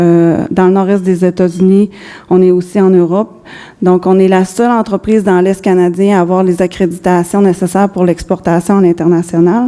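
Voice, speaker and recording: A woman speaks in a flat monotone at a moderate pace. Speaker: business executive. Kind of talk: conference presentation. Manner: halting.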